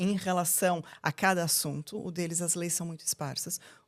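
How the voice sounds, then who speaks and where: A woman talks at a fairly quick pace with a Brazilian accent. Her pitch is fairly low, and the recording is very clean with a silent background. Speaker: lawyer. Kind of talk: podcast interview. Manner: halting, with fillers.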